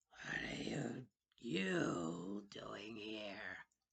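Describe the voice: Putting on a character voice, a man rumbles at a fairly low pitch with a raspy edge.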